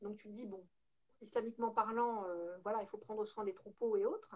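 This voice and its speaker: A woman with an unremarkable speaking voice talks fairly quickly at a fairly high pitch. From northern France, Lille. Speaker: home organizing entrepreneur. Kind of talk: interview.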